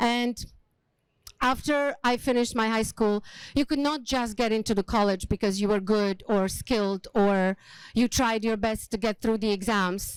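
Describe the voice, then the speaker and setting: On a very clean recording with a silent background, a woman with a Slovak accent speaks at a moderate pace in a fairly high voice, with fairly even intonation and very even loudness. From Slovakia, small village. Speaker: hospitality leader and speaker. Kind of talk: motivational talk. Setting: stage with small audience.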